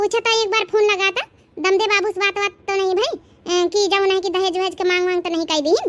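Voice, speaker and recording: A woman's cartoonish character voice, squeaky and extremely high in pitch, very fast, with fairly even intonation. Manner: gossipy, insistent.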